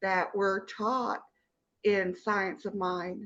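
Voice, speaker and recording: This woman's tone comes across bright and sharp. She talks at a very slow pace. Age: 60s. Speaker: participant in spiritual study group. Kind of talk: personal testimony.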